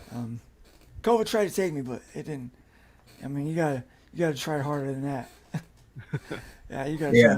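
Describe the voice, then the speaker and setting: A man speaks in a breathy, husky voice that is fairly high in pitch, with lively intonation. His pace is fairly quick, broken by long, frequent pauses. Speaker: livestreamer reading chat comments. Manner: hesitant, many fillers.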